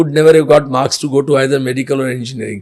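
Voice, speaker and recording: A man with a fairly high pitch, against noticeable background noise. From India, Gujarat. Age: 60s. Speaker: senior lawyer. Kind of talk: interview. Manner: hesitant, many fillers.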